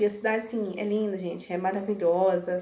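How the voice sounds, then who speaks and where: A woman's medium-pitched voice at a moderate pace, fairly even in intonation, with noticeable background noise and audible room echo. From Brazil, small town. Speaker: vlogger. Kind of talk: casual vlog storytelling.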